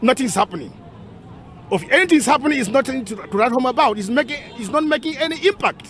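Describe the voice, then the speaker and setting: The speech moves at a very fast pace with lively intonation. Crowd noise fills the background. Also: man, extremely high pitch for a man. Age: 60s. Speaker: priest. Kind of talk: interview. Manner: halting.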